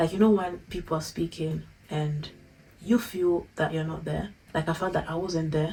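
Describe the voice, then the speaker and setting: A woman's dark, mellow, somewhat breathy voice, fairly low in pitch, with flat, monotone intonation at a moderate pace. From Italy. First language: Italian. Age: 20s. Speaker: YouTuber. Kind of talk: personal vlog.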